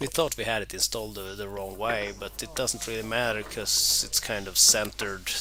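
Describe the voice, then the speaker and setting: A man with a fairly low voice speaks with hardly any pauses. His intonation is fairly even, and background noise is noticeable. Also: moderate pace. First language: not English. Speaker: DIY car repair vlogger. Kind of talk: voiceover narration of repair video. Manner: hesitant, many fillers and repeats.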